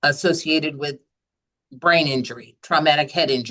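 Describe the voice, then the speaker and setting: Loud and bright with a sharp tone, a woman talks at a fairly low pitch and a moderate pace, her pitch varying in an ordinary way. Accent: American. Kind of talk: webinar Q&A.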